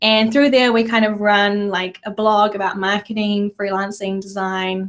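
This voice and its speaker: A woman speaks with a New Zealand accent. Her pace is moderate and her intonation is monotone, flat. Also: medium pitch for a woman. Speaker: podcast co-host, designer. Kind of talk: casual chat. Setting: live video stream, in a room together.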